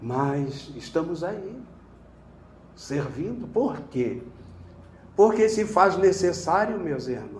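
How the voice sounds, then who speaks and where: A high-pitched man's voice with lively intonation, a very slow pace and audible room echo. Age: 70s. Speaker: spiritist lecturer. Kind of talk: sermon. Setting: spiritist center lecture with audience.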